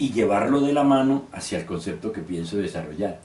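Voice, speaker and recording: The voice makes very wide pitch swings, with audible room echo around it. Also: man. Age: 60s. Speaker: university professor. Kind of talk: lecture.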